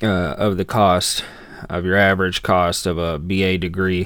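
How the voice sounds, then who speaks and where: A man is speaking. His pitch is very deep and low. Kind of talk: tutorial. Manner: monotone; hesitant, many fillers.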